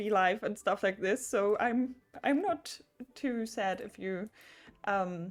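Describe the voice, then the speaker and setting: A woman talks fairly slowly with music in the background. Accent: German. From Germany. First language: German. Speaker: video game streamer. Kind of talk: casual livestream chat. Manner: halting, many fillers.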